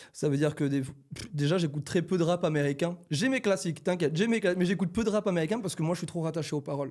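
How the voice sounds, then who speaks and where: Talking at a very fast pace, a man shows ordinary variation in pitch. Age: 20s. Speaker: rapper. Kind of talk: casual chat.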